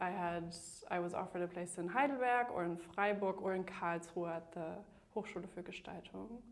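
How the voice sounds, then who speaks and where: A woman talks over noticeable background noise. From Germany (Bremen), bilingual with Northern Irish mother. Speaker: museum curator and deputy director. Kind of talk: interview. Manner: hesitant, with fillers.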